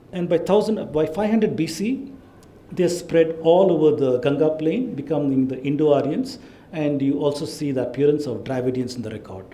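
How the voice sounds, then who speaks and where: With audible room echo, a man speaks at a fairly high pitch using lively intonation. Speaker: lecturer on ancient history. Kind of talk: lecture. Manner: fast.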